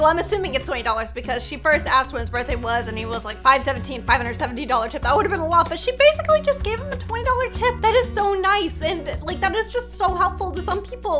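Over clear music in the background, the voice moves at a fairly quick pace with hardly any pauses. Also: woman. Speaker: content creator reacting to clips. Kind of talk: casual reaction commentary. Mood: warm, touched. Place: home room.

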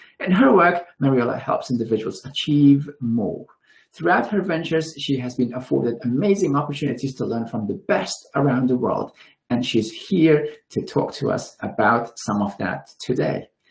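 A man speaks at a moderate pace with lively intonation and a somewhat breathy quality. The background is quiet. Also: fairly high pitch for a man. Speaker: webinar host and director. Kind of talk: formal webinar introduction and moderation. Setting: video call webinar. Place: home room. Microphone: webcam.

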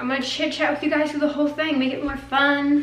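Light noise sits in the background. The room adds an audible echo. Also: woman. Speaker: fitness vlogger. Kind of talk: casual vlog chat. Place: kitchen.

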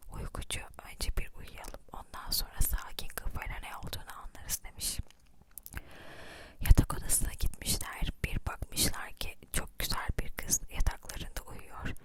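Someone is whispering. The delivery is fairly slow. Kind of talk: close-whisper ASMR fairy-tale reading. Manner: whispered, soft, slow.

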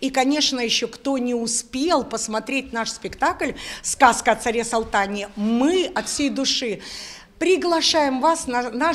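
Speaking fairly slowly with few pauses, a woman uses a fairly high pitch and ordinary pitch variation.

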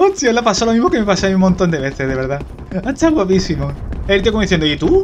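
Amid noticeable background noise, a man talks at a very fast pace with very wide pitch swings. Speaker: gaming youtuber. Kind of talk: live gameplay commentary. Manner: animated.

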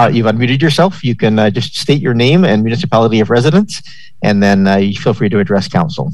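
This man talks fast in a fairly low voice with a slightly mellow tone and ordinary pitch variation.

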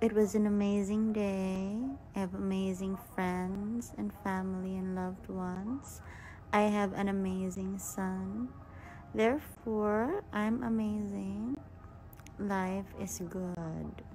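A woman with a dark, mellow tone speaks at a very slow pace with ordinary pitch variation over light background noise. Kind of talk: casual Q&A story chat. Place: home room. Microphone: phone near.

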